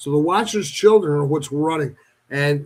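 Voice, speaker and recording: This man talks at a moderate pace in a plain, everyday voice, pitched fairly high. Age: 60s. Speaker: paranormal enthusiast. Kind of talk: radio talk show discussion. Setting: radio show.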